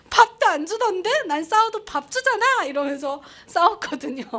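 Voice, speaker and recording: With a North Korean accent, a woman speaks at a moderate pace in an animated, bright, sharp tone, her pitch swinging very widely. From North Korea, Pyongyang. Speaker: North Korean defector broadcaster. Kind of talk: public talk.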